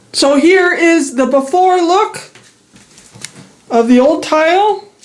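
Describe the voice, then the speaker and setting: This woman's pitch is extremely high, with ordinary pitch variation, and she talks very slowly. Noticeable background noise runs under the recording. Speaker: DIY home renovation vlogger. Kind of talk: casual vlog narration. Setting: indoors, bathroom renovation at aunt's house. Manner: rambling, self-correcting.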